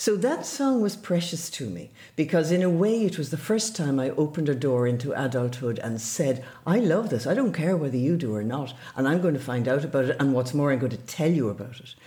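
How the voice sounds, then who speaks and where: A woman's very deep, low, somewhat breathy voice in an Irish accent, with very wide pitch swings and a fairly quick pace. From Ireland, River Barrow area. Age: 70s. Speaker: journalist and radio broadcaster. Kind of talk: interview.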